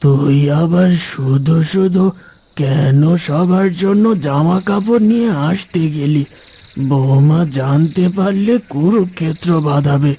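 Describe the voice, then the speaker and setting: Putting on a cartoonish character voice, a man speaks very slowly at a fairly high pitch, with ordinary pitch variation and very even loudness. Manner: tender, soft.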